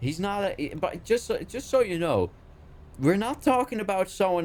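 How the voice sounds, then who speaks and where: A man with a Dutch accent. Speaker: IT worker at a school, gaming co-host. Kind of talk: casual chat. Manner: higher pitch in English.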